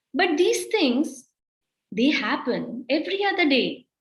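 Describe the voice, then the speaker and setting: A woman at a fairly slow pace, with a Kannada accent. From India, Karnataka. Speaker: poet. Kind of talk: poetry reading.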